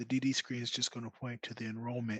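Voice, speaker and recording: A soft-spoken man talks in a monotone with flat intonation. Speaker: data support specialist on Q&A panel. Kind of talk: live Q&A webinar. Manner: quiet.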